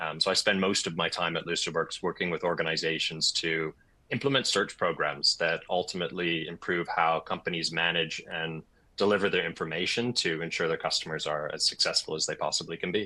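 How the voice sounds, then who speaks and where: The pace is fairly quick. The speaker has a Canadian accent. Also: man. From Canada. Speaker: enterprise software account manager. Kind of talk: webinar panel discussion. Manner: hesitant with fillers.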